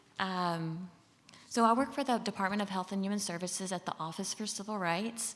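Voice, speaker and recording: With a Southern US accent, a woman speaks at a fairly quick pace and a medium pitch, with ordinary pitch variation. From Mississippi, US South. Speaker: government civil rights official. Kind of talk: conference presentation. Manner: casual, with frequent fillers.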